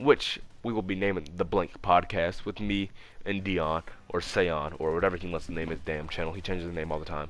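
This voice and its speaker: Music plays in the background as a man talks at a fairly quick pace. His pitch is very deep and low, with ordinary variation. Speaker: gaming youtuber. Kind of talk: casual chat. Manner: stuttering; low energy.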